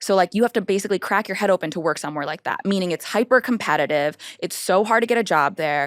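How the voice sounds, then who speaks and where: At a very fast pace with hardly any pauses, a woman speaks in an animated tone at medium pitch with ordinary pitch variation. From United States. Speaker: personal finance creator. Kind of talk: interview.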